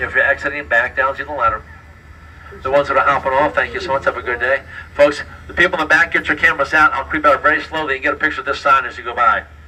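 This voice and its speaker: The background carries noticeable noise. Over it, a man talks very fast. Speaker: trolley tour guide. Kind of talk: guided tour narration. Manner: animated.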